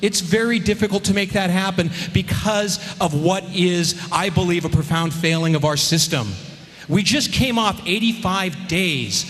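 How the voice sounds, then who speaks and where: A high-pitched man at a moderate pace, ordinary pitch variation, noticeable background noise behind him. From California, Central Valley. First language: Armenian. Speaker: politician, state assembly member. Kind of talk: campaign speech at forum; forum debate answer. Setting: public forum with audience.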